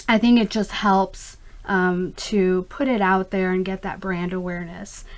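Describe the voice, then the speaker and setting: A woman talks in an unremarkable speaking voice at a medium pitch. Her pace is fairly slow and her intonation fairly even. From US, immigrated from Pakistan at age five. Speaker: skincare company founder. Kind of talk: interview. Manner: frequent fillers, um and uh.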